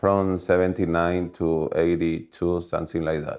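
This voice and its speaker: A man speaks with a Paraguayan accent. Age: 60s. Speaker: former tennis player. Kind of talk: documentary interview. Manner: halting, non-native phrasing.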